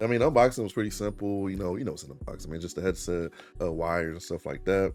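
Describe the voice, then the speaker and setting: A man's very deep, low voice, very fast and animated, with lively intonation over background music. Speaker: VR gaming YouTuber. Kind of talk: product review. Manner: casual, animated.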